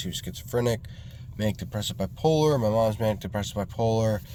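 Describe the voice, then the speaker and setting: This is a man speaking. He has a New York accent. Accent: New York area American. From New York State, Hudson Valley. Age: 20s. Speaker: vlogger, landscaping business owner. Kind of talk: casual vlog monologue. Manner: halting, many fillers.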